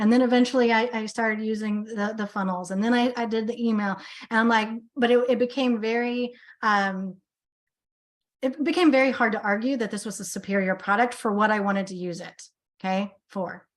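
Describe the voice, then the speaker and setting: At a fairly quick pace, a woman speaks in a fairly high voice with fairly even intonation. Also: quiet background. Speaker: business coach. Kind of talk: sales pitch. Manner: fast.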